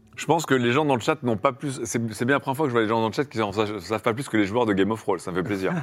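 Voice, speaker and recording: Barely pausing, a man rushes along at a very fast pace with a medium pitch and ordinary pitch variation. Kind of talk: casual chat, improvised role-play game.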